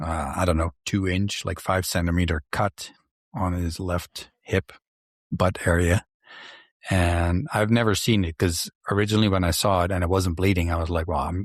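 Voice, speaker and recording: Very deep and low, a man's voice carries a slight Dutch accent, moving at a moderate pace with fairly even intonation. The recording is very clean, with a silent background and a dry, close sound with no echo. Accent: slight Dutch accent in Canadian English. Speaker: podcast host. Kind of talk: casual chat.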